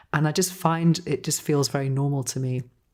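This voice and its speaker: Speaking at a fairly slow pace, a woman has a very deep, low pitch, a dark, mellow tone and ordinary pitch variation. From Manchester, northern England. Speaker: podcast host. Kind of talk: casual podcast conversation.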